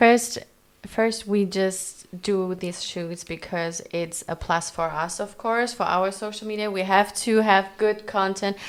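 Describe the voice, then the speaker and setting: Someone with a non-native accent speaks at a fairly slow pace with fairly even intonation. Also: woman, medium pitch for a woman. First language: not English. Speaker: fashion creative director. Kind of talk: casual interview.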